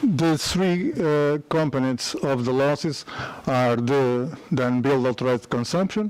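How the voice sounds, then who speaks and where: Speaking at a fairly slow pace with a Portuguese accent, a man has a fairly high voice with ordinary pitch variation, heard over noticeable background noise. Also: very even loudness. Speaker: company founder and engineer. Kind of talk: conference presentation. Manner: halting.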